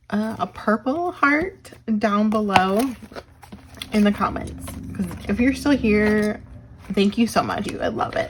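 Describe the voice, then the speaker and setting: Against noticeable background noise, a woman speaks at a fairly slow pace. Her pitch sits fairly high and her intonation is lively. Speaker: budgeting vlogger. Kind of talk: casual tutorial while counting cash.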